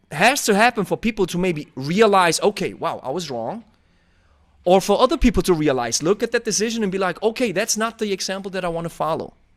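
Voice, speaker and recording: A man with a Swiss German accent talks at a very fast pace and high pitch, animated in tone with lively intonation. The sound is dry and close, with no echo. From Switzerland (German-speaking). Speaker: podcast host, kettlebell coach. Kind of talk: casual interview chat.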